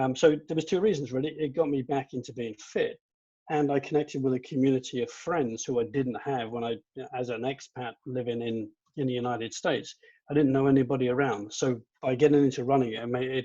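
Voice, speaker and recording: A man talks with a British accent in a dark, mellow tone. His pace is fairly quick. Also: medium pitch for a man, fairly even intonation. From England. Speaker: amateur runner, former judo competitor. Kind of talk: panel discussion.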